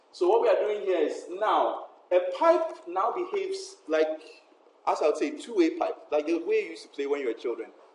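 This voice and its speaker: There is noticeable background noise while a man speaks fairly quickly. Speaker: university lecturer. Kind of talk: lecture. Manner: fast.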